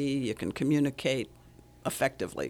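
Her pitch is very deep and low for a woman. The recording is very clean, with a silent background. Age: 80s. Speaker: relationship coach and author. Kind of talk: radio interview. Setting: studio.

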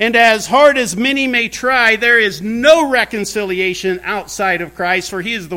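A man with an American accent speaks in a raised, projected voice at a moderate pace. His tone is bright and sharp, with ordinary pitch variation. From US Midwest, rural Indiana (Brown County). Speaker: pastor. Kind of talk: sermon.

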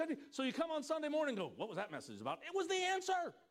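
A man talks loudly at a very fast pace in an extremely high pitch. His tone is animated and his intonation lively. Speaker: pastor. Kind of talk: sermon. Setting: church stage with congregation.

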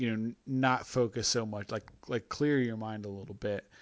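A man speaks in a normal speaking voice, his medium pitch held in fairly even intonation at a moderate pace. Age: 30s. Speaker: sports podcast host. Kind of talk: casual chat. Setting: home kitchen.

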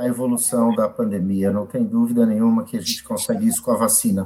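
Very wide pitch swings mark this man's speech. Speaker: hospital director and infectious disease doctor. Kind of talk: live panel interview.

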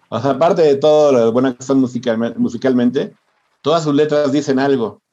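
At a moderate pace, a man talks in a medium pitch with a dark, mellow tone. His pitch varies in an ordinary way. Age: 60s. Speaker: music journalist and songwriter. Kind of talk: casual interview. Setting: podcast recording.

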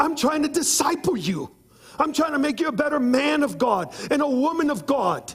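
A man's animated voice over noticeable background noise. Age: 50s. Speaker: visiting preacher. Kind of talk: sermon. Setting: church.

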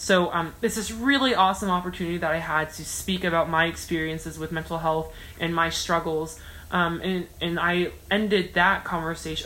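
In an American accent, a woman with an ordinary speaking voice talks at a moderate pace and a fairly low pitch. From US. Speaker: student speaker. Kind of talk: casual chat.

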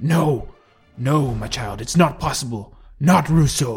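A man performs a loud, put-on character voice at a fairly high pitch and fairly slow pace. His pitch variation is ordinary, with faint music in the background. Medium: read story. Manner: forceful, commanding.

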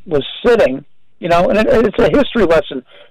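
This man speaks with an American accent at a high pitch for a man. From New Jersey, New Brunswick. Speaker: artist and radio host. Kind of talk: casual interview. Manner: animated.

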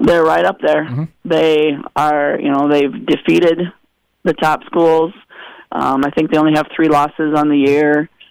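An unremarkable speaking voice with fairly even intonation and very even loudness. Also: man, fairly high pitch for a man, moderate pace. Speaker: high school volleyball head coach. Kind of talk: radio interview.

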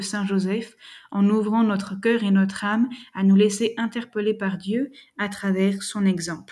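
A woman's very slow, somewhat breathy delivery at medium pitch, with a dark, mellow tone and fairly even intonation. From France. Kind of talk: lecture. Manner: formal.

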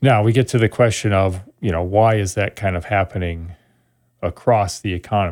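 An unremarkable speaking voice, a man's with an American accent, comes through at a fairly low pitch and moderate pace with ordinary pitch variation, in a very clean recording with a silent background. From Wisconsin (Sun Prairie, near Madison). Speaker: economics professor. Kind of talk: interview.

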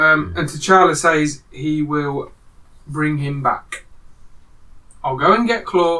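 Noticeable background noise sits behind a man speaking at a fairly high pitch with ordinary pitch variation. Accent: British. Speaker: podcast host. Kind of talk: casual chat.

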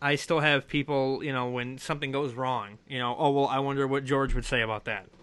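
Animated in tone, a man talks at a fairly quick pace with hardly any pauses. His pitch sits in the medium range. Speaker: podcast host. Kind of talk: casual interview chat. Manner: animated, joking.

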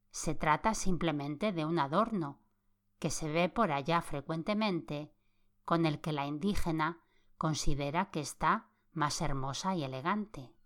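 Against a silent background in a very clean recording, a woman with a very deep, low pitch speaks in a soothing tone at a fairly slow pace, with ordinary pitch variation. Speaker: podcast host, sleep-story narrator. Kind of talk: reading aloud a 1929 magazine in a calm, sleep-inducing bedtime style. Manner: slow, soft, soothing, even pacing.

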